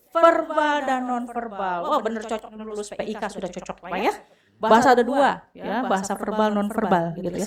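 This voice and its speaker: Lively intonation with a slight Sundanese accent. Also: woman. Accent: slight Sundanese-tinged Indonesian. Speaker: university lecturer. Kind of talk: lecture.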